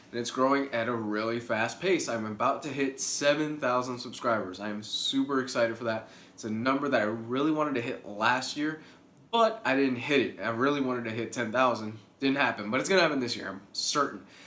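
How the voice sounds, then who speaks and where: Amid noticeable background noise and audible room echo, a man talks at a fairly quick pace with ordinary pitch variation. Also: medium pitch for a man. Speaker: YouTuber. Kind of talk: casual vlog update.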